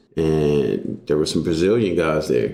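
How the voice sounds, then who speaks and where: A man with an American accent at a fairly slow pace, amid audible room echo. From Texas. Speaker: jiu-jitsu coach and army veteran. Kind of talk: casual interview.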